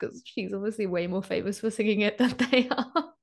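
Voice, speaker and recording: In a British accent, a woman speaks at a very fast pace. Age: 20s. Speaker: podcast co-host. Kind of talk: casual chat.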